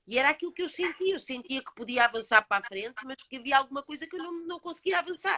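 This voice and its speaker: Speaking very fast with hardly any pauses, a woman with a European Portuguese accent uses a raised, projected voice with high pitch, a bright, sharp tone, lively intonation and big swings in loudness, in a dry, close sound with no echo. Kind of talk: casual chat.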